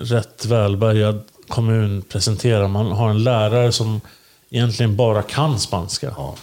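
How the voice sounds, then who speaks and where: A man speaks in a plain, everyday voice at medium pitch, moving at a fairly slow pace with fairly even intonation. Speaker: podcast co-host. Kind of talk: casual chat. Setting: recording in Linköping.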